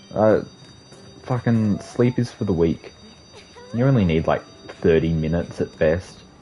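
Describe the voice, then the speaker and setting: Someone with an Australian accent speaks at a moderate pace with long, frequent pauses while music plays in the background. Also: man, fairly low pitch for a man, ordinary pitch variation. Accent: thick Australian. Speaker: video game streamer. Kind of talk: casual gaming livestream chat.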